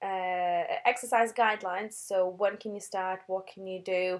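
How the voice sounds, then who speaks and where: A woman at medium pitch, fairly even in intonation and fairly slow in pace. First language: not English. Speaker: postnatal fitness trainer. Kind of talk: webinar presentation. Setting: online webinar. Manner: halting, many fillers and restarts.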